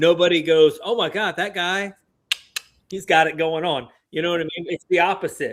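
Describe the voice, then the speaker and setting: A man with an Alabama accent speaks at a moderate pace with a high pitch. His intonation stays fairly even. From US South, Alabama. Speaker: podcast host, veteran. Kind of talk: casual podcast chat.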